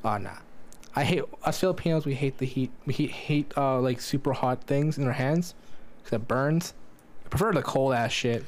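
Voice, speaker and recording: A man with a plain, everyday voice talks at a fairly quick pace, his pitch fairly high with ordinary variation. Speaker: podcast co-host. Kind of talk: casual chat.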